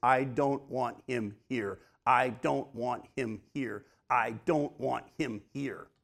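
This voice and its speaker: A man puts on a loud, growling character voice at a medium pitch and a very slow pace. The recording is very clean, with a silent background. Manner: louder, insistent.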